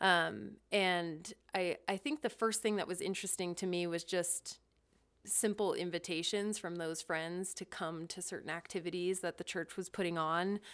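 Over a silent background in a very clean recording, a woman with an American accent and an ordinary speaking voice talks at a moderate pace, her pitch fairly low and her intonation fairly even. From Ohio, US Midwest. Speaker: business analyst and guest. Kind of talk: casual interview chat.

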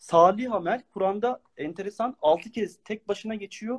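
This man's voice sits high for a man, with lively intonation, a moderate pace, and a dry, close sound with no echo. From Turkey, Ankara. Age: 40s. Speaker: Quran study speaker. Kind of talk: religious lecture. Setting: online live stream.

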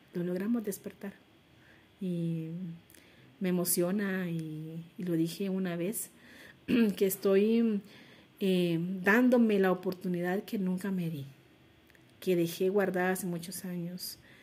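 At a fairly slow pace, a woman speaks in a medium pitch with fairly even intonation and long, frequent pauses. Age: 40s. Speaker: entrepreneur. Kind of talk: interview.

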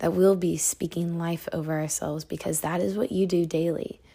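A woman with a plain, everyday voice speaks fairly slowly at a fairly low pitch, her intonation fairly even. The recording is very clean, with a silent background. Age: 20s. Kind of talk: devotional talk. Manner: casual.

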